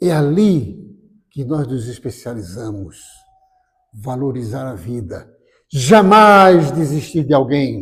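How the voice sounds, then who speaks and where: A man speaks at a medium pitch and a very slow pace, his somewhat breathy voice swinging widely in pitch and loudness, with long, frequent pauses. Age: 70s. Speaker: spiritist lecturer. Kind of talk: spiritual lecture. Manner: warm, conversational.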